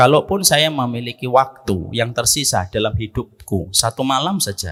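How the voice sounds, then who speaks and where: A man's bright, sharp voice at medium pitch, lively intonation and a moderate pace. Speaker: Islamic preacher. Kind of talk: religious lecture.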